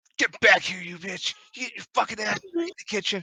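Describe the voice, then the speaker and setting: In a put-on character voice, a man talks at a moderate pace with a high pitch, recorded dry and close with no echo. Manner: shouting, abusive.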